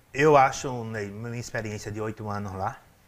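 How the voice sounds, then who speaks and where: An unremarkable speaking voice from a man, fairly low in pitch, at a moderate pace with fairly even intonation. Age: 40s. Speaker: city councillor. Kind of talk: interview.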